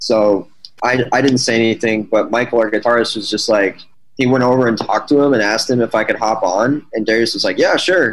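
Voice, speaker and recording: Using an ordinary speaking voice, a man talks at a fairly quick pace with medium pitch and fairly even intonation. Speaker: band member / musician. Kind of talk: casual interview chat.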